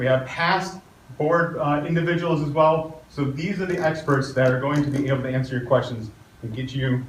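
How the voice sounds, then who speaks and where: With an American accent, a man speaks at a fairly high pitch and a fairly quick pace, with ordinary pitch variation. Noticeable background noise and audible room echo surround him. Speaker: community meeting moderator. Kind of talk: public meeting introductions and Q&A moderation.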